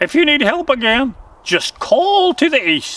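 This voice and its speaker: Putting on a character voice, a man speaks at an extremely high pitch and cackles. His pace is fairly slow. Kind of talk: bedtime story. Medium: read story. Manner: jovial, joking.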